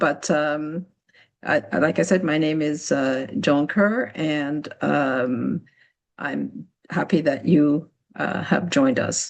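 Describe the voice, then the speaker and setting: A woman speaks very slowly with vocal fry. Her pitch is very deep and low. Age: 60s. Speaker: program director of a nonprofit. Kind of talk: webinar presentation. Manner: halting, many fillers.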